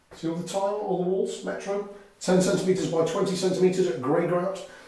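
Audible room echo surrounds a man speaking at a high pitch with fairly even intonation. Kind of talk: product walkthrough tour. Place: bathroom. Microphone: camera far.

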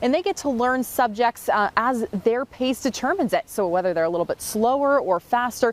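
A high-pitched woman with hardly any pauses in a dry sound with no echo. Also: fairly quick pace. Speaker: TV news reporter. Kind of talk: live news report. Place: street.

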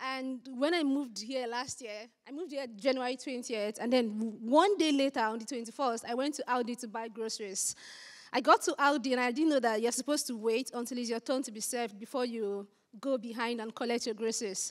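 A woman with a strong Nigerian accent talks fairly quickly in a high pitch, with ordinary pitch variation and an animated tone. Her loudness swings widely against a quiet background. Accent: thick Nigerian. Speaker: SEO content strategist, conference speaker; conference speaker. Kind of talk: conference talk. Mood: humorous, lively. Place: hall. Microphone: handheld.

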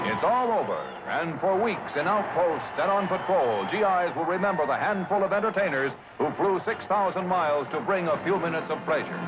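A man with high pitch and ordinary pitch variation at a fairly quick pace, against noticeable background noise. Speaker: newsreel narrator. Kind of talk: newsreel narration.

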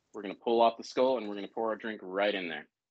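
A man with an American accent, fairly low-pitched and monotone, at a fairly quick pace against a quiet background. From US South, Savannah, Georgia; Georgia. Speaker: bartender and cocktail consultant; bartender demonstrating cocktails. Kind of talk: live cocktail-making demonstration. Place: kitchen.

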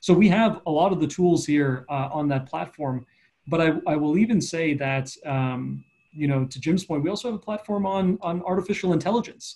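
A man with a Canadian accent and fairly high pitch speaks at a moderate pace with a dark, mellow tone and ordinary pitch variation over a quiet background. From Eastern Canada. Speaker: economic development strategist; panelist. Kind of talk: online panel discussion. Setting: online video event. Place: office. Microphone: video call.

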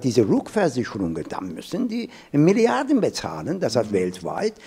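In quiet surroundings, a man talks at a moderate pace. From Urmia, Iran. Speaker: professor. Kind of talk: panel discussion on climate adaptation. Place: hall. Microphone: handheld.

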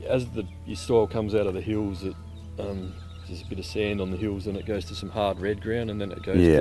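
A man with a fairly low pitch speaks with fairly even intonation. The sound is dry with no echo, and music plays clearly in the background. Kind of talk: interview answer. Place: open country. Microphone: lapel.

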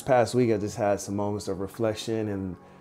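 Faint music sits in the background while a man speaks at a fairly quick pace. His fairly low voice holds a monotone, flat intonation. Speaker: vlogger. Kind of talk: casual vlog chat. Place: home room.

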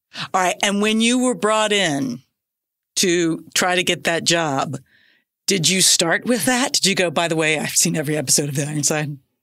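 A woman with an American accent and an unremarkable speaking voice, fairly low in pitch, at a moderate pace, with lively intonation and very even loudness, on a very clean recording with a silent background. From US South (Decatur, Georgia). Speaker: podcast host. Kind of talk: casual chat.

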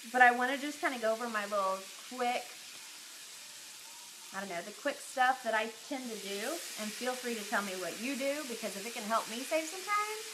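There is noticeable background noise. A woman speaks at a moderate pace with ordinary pitch variation. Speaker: lifestyle blogger. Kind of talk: casual live stream chat. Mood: cheerful, friendly. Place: kitchen. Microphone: phone near.

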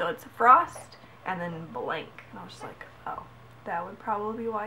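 A woman speaks at a moderate pace with a fairly high pitch. Light background noise sits behind her. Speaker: gaming vlogger. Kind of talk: casual vlog rant. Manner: animated. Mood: exasperated ranting. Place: home room. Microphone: webcam.

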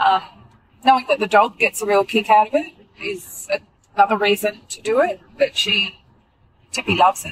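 A woman talks at a moderate pace with ordinary pitch variation. She takes long, frequent pauses. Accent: Australian. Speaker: runner and friend of host. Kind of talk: casual chat. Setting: in a car.

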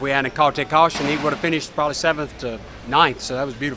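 Fairly quick speech with fairly even intonation, dry with no echo, over noticeable background noise. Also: man. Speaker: NASCAR crew chief. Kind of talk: post-race interview answer. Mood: pleased, candid. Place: garage.

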